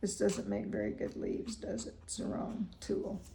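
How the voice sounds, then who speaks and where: Room echo is audible as the words come out fairly slowly. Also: woman. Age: 80s+. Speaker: feng shui consultant. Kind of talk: consultation; casual chat.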